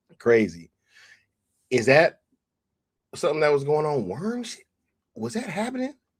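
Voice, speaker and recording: In an animated tone, a somewhat breathy man with fairly high pitch swings very widely in pitch, keeping a moderate pace broken by long, frequent pauses. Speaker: YouTube streamer. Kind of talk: live stream chat.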